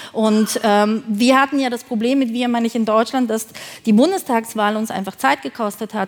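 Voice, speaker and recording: A woman talks at a moderate pace, her pitch shifting in an ordinary way. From Thuringia, Germany. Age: 40s. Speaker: film producer. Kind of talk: keynote talk. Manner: halting, many fillers.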